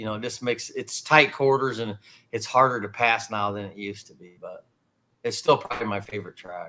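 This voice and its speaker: A man with an American accent talks at a fairly quick pace in a bright, sharp tone. His medium pitch varies in an ordinary way, and his loudness swings widely. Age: 60s. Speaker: race car driver. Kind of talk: interview.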